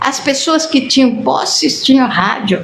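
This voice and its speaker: A woman speaks with lively intonation. The room echo is audible, and background noise is noticeable. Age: 80s+. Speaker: spiritist lecturer. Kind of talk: lecture. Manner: animated.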